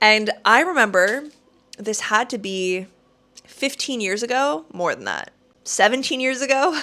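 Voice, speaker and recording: With a Canadian accent, a woman speaks in a bright, sharp tone marked by very wide pitch swings. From Canada, Toronto. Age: 30s. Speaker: travel vlogger. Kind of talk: casual vlog monologue. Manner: chatty.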